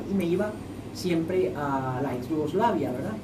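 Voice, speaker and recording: With lively intonation and a fairly low pitch, a woman speaks amid audible room echo and noticeable background noise. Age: 80s+. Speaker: former ambassador. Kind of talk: radio interview.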